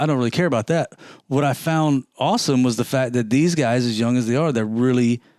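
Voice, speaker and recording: In an ordinary speaking voice, a man talks at a medium pitch and a fairly quick pace with ordinary pitch variation, his sound dry and close with no echo on a very clean recording with a silent background. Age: 50s. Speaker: car podcast co-host. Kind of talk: casual chat.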